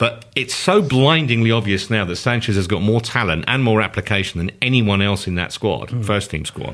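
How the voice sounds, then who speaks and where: A man with an ordinary speaking voice at a fairly low pitch, fairly quick pace with hardly any pauses, ordinary pitch variation, and a very clean recording with a silent background. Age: 50s. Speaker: football podcast panelist. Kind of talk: casual chat.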